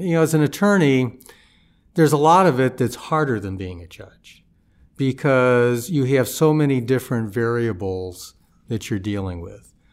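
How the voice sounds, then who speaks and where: Lively in intonation, a man with a plain, everyday voice and an American accent speaks at a medium pitch and a moderate pace. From US Midwest, St. Louis. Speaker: federal judge. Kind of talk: interview. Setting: studio.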